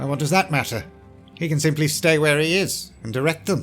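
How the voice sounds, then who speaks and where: A put-on character voice with a pompous tone moves at a fairly quick pace. Clear music plays in the background. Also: man, fairly high pitch for a man. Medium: audio drama. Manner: haughty, pompous.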